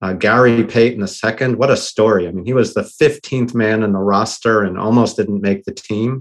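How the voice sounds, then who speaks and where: A man's plain, everyday voice at medium pitch, with an American accent, a fairly quick pace and fairly even intonation. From US Northeast, Boston. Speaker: tech entrepreneur. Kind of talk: podcast interview.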